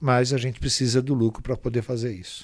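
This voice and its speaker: This is a plain, everyday voice. The pace is moderate. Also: man. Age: 60s. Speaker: pharmaceutical industry association executive. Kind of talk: interview.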